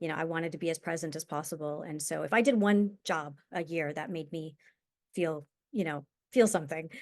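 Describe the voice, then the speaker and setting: With a quiet background, a woman speaks at a moderate pace in a fairly low pitch with ordinary pitch variation. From New York, US. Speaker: actor. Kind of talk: interview. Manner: halting.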